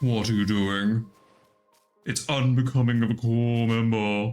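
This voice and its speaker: A man's put-on character voice at medium pitch, monotone and flat, at a fairly slow pace. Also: very even loudness. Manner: serious, disapproving.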